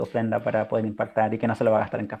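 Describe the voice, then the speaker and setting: The voice has a dark, mellow tone and speaks in a Chilean accent. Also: man. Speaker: missionary and language teacher. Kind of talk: casual chat. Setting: podcast recording.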